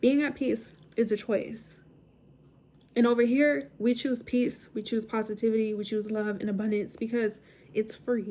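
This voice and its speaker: Her voice is fairly high in pitch for a woman, with a dark, mellow tone. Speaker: wellness channel host. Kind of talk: motivational monologue. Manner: animated.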